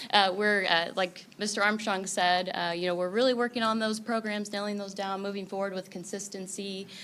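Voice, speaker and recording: A woman at medium pitch talks fairly quickly in a monotone, flat intonation with hardly any pauses. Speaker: school counselor. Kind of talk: public meeting presentation. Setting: school board meeting. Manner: loud.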